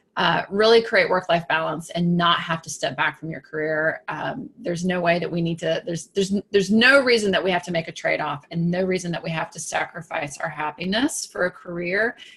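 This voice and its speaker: A woman speaks at a fairly low pitch and a fairly quick pace, with hardly any pauses. Her pitch varies in an ordinary way over noticeable background noise. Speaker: business coach for women. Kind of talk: live broadcast talk to camera. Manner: animated; halting, with fillers and repeats.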